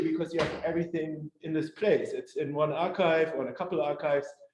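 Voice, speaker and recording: This man has a German accent and speaks at a fairly quick pace. His pitch variation is ordinary, and room echo is audible. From northwest Germany. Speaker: historian. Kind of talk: lecture. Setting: community hall with audience. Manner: halting, many fillers.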